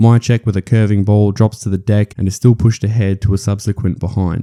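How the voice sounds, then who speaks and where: A man with an Australian accent speaks at a fairly quick pace in a monotone, flat intonation with fairly low pitch. His tone is dark and mellow, and the sound is dry and close with no echo. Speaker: footy analysis commentator. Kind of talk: sports analysis voice-over. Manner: casual, humorous.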